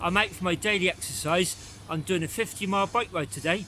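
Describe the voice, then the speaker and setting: Over noticeable background noise, a man with a West Country accent talks at a fairly quick pace in a high voice. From England, Bath. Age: 60s. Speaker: cycling vlogger. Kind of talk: vlog narration while riding. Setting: outdoors on a bike.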